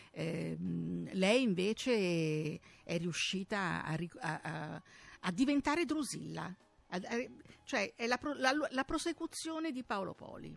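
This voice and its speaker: Over music in the background, a woman speaks at a very slow pace with long, frequent pauses. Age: 70s. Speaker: radio co-host. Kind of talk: casual chat.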